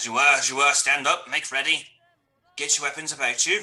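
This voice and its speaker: In a put-on character voice, a man sounds gruff at a fairly high pitch and talks at a fairly quick pace. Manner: commanding, barking orders.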